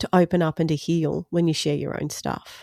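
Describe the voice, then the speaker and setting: Fairly low-pitched woman's voice with an Australian accent, a dark, mellow tone and fairly even intonation. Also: dry, close sound with no echo. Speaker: podcaster and speaker. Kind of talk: podcast interview answer.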